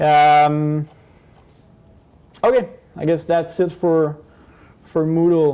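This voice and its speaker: A man with a non-native accent speaks at a very slow pace, pausing long and often. His pitch is high, and his tone is dark and mellow. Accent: non-native English, noticeable. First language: not English. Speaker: professor. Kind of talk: lecture. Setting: classroom, recorded on camera. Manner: hesitant, many fillers.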